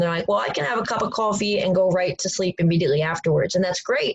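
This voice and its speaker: A woman talks at a very fast pace and a medium pitch. Her intonation is fairly even, with noticeable background noise. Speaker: strength coach. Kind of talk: online coaching presentation.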